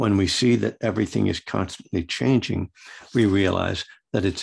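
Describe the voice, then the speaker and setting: A man's fairly low voice shows vocal fry and ordinary pitch variation, over a quiet background. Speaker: Buddhist meditation teacher and recovery author. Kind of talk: dharma talk with reading from own book.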